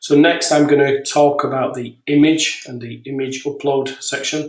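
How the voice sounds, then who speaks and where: A man with a British accent speaks at a fairly high pitch and a moderate pace. His intonation is monotone and flat, while his loudness swings widely. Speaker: software developer. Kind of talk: software demo webinar. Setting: webinar.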